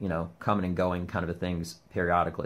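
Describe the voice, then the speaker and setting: Very deep and low, a man's voice moves at a fairly quick pace. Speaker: comedian. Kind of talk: casual vlog monologue. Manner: aggressive, emphatic; hesitant with fillers.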